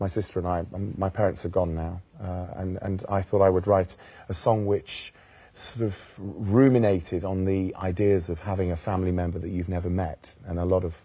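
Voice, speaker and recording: In a Welsh accent, a man speaks at a moderate pace with a very deep, low pitch. His tone is dark and mellow, somewhat breathy, with monotone, flat intonation. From Wales. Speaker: jazz singer. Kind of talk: interview. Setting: studio.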